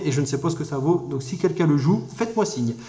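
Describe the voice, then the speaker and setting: A man's voice against noticeable background noise. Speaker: card game YouTuber. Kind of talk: casual deck review tutorial. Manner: fast; hesitant with many fillers.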